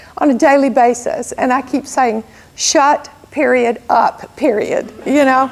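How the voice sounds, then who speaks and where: A woman with an American accent speaks at a fairly slow pace in a high voice, her pitch varying in an ordinary way over noticeable background noise. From US South, southern Alabama. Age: 60s. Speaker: entrepreneur and guest speaker. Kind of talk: motivational talk to audience.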